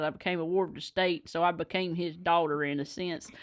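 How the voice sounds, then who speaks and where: The pace here is fairly quick. It's a woman talking in a Southern US accent. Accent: Southern US (Georgia). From Georgia, US South. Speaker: bluegrass musician. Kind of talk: casual chat.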